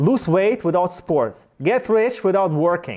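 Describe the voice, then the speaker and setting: A man's high-pitched voice, dark and mellow in tone, with lively intonation. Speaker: sales trainer. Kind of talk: workshop with audience. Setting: room with live audience. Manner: halting.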